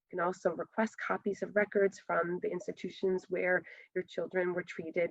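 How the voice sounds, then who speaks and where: Her intonation stays fairly even. The woman's pitch is medium. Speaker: retinoblastoma survivor and genetics speaker. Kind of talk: conference presentation. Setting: virtual conference. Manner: fast.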